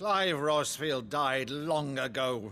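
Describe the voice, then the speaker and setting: A man's put-on character voice, fairly high in pitch. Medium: video game.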